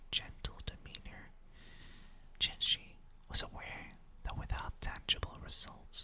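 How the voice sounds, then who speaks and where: A woman whispering in a calm tone at a fairly slow pace. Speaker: ASMR creator. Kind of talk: lore reading, storytelling. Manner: slow, calm, whispered.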